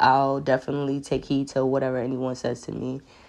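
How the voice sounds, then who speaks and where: A woman with a New York accent and a very deep, low pitch, at a moderate pace against a quiet background. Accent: New York City. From New York City, Queens. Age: 20s. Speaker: podcast host. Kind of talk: solo monologue. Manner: halting, many fillers.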